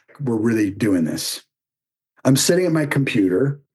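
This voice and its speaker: The speaker is a man whose voice is somewhat breathy. His pitch swings very widely. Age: 60s. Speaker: performer and public speaker, runs online writing program. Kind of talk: personal storytelling in podcast interview. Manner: animated.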